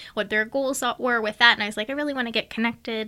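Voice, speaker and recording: A woman speaks with an American accent in a bright, sharp tone. The recording is very clean, with a silent background. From central Pennsylvania (Bellwood). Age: 20s. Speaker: coffee shop and pottery business owner. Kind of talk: casual interview.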